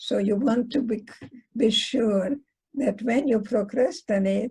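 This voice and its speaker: A dark, mellow voice speaks at a fairly slow pace with very even loudness. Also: woman, fairly high pitch for a woman, ordinary pitch variation. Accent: Hungarian. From Hungary. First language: Hungarian. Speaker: psychologist. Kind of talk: lecture.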